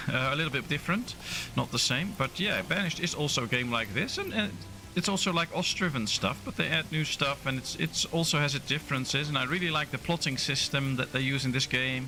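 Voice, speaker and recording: A man with a Dutch accent talks at a very fast pace in a fairly high pitch, with music playing in the background. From Netherlands. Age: 30s. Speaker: gaming streamer. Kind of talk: live gameplay stream chat. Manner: casual, hesitant with fillers.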